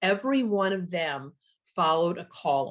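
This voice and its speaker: Her fairly low pitch and ordinary pitch variation mark this woman's unremarkable speaking voice. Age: 60s. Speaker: workshop leader. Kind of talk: online workshop.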